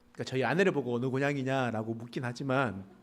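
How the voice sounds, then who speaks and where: A man at a very fast pace, with audible room echo. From rural Pohang area, North Gyeongsang, South Korea. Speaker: pastor. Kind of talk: sermon. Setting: church service.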